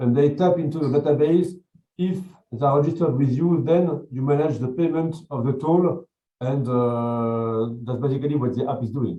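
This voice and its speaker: Speaking at a moderate pace with a French accent, a man has a fairly high voice and ordinary pitch variation. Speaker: jury member. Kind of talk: jury questioning. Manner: halting, many repetitions.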